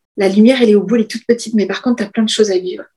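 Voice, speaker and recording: A woman talks at a very fast pace in a fairly high pitch with ordinary pitch variation. Her tone is dark, mellow and somewhat breathy. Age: 50s. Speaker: business coach. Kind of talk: interview.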